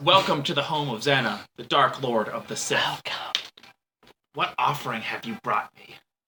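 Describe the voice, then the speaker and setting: A raspy, put-on character voice from a man, fairly high-pitched, at a moderate pace. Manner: rasping, eerie.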